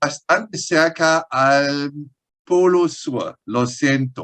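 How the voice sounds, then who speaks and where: This is a man's voice. He speaks with a strong German accent. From Germany. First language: German (speaking Spanish). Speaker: paleontologist. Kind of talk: interview. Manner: halting.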